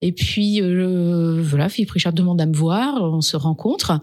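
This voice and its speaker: A woman with a fairly low pitch talks at a fairly slow pace, her pitch varying in an ordinary way. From France, Dauphiné village. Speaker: regional politician and foundation director. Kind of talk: interview. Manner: energetic.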